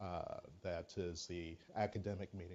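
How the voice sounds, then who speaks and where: A man with ordinary pitch variation. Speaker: physician. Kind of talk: speech. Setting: auditorium.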